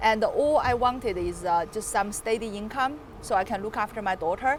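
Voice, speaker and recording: A woman with a Chinese accent speaks at a moderate pace and a fairly high pitch, with ordinary pitch variation and noticeable background noise. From China, Chengdu. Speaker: property developer. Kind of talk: casual interview.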